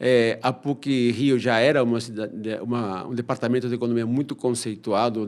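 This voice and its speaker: Someone with a Peruvian accent talks at a fairly quick pace. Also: man. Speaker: economist and professor. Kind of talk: podcast interview. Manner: halting, with repeated fillers.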